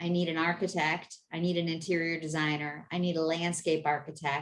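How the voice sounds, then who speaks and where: Speaking at a fairly quick pace, a woman has a fairly low pitch and a plain, everyday voice. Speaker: business network founder. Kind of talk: video meeting presentation.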